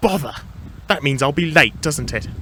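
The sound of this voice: In a put-on character voice, a man talks at a moderate pace with a fairly high pitch, a bright, sharp tone and a slightly husky edge. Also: lively intonation.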